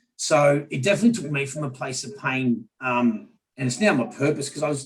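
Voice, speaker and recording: Speaking in an Australian accent, a man uses a fairly high pitch. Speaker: business leader. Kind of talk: panel discussion.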